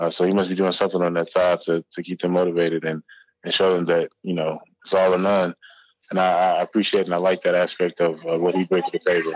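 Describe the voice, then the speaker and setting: Very fast and in a very deep, low pitch, a man speaks with monotone, flat intonation, the sound dry and close with no echo. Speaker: college football player, draft prospect. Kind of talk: interview.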